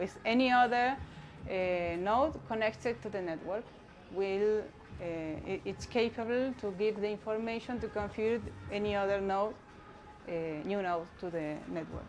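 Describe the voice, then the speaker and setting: A woman with a Spanish accent speaks at a medium pitch and a moderate pace, with ordinary pitch variation, long and frequent pauses, and audible room echo. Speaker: community network activist. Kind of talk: conference talk. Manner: halting, many fillers.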